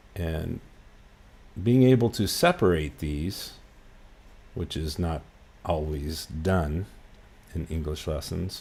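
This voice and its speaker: With a West Coast US accent, a man speaks at a very slow pace in a very deep, low, somewhat breathy voice, with ordinary pitch variation and long, frequent pauses. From US West Coast, Los Angeles. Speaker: English teacher. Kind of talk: lesson. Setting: livestream.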